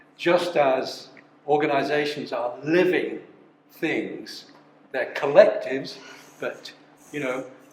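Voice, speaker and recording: Over noticeable background noise and audible room echo, a man speaks very slowly with long, frequent pauses and big swings in loudness. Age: 70s. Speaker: company founder. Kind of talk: talk to a live audience. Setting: live event with audience. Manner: halting, many repetitions.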